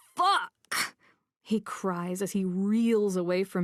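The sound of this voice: Quiet background aside, all that is heard is an unforced reading voice.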